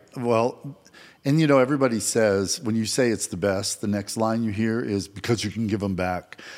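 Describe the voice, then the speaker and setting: In a normal speaking voice with an American accent, the words proceed at a moderate pace and ordinary pitch variation. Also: man, medium pitch for a man. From Vermont, US. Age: 60s. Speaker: mortgage loan officer, father and grandfather. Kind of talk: casual interview chat.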